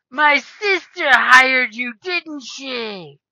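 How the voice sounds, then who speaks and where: Using a put-on character voice, a woman speaks at a very slow pace. Her pitch is high. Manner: accusing.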